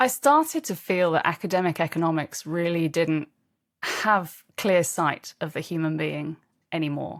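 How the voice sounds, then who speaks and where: A woman with a British accent on a very clean recording with a silent background. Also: fairly low pitch for a woman, ordinary pitch variation, moderate pace. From England. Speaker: leadership coach and author. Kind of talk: interview.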